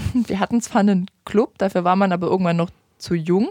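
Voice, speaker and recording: With an unremarkable speaking voice, a woman speaks fairly quickly at medium pitch and ordinary pitch variation, the sound dry and close with no echo. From Saxony, Vogtland. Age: 20s. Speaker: youth politician. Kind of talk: interview.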